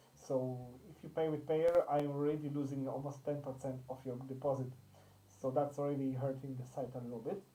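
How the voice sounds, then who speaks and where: Delivered at a fairly quick pace, the speech comes with a non-native accent. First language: not English. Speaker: crypto investment channel host. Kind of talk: tutorial. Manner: halting.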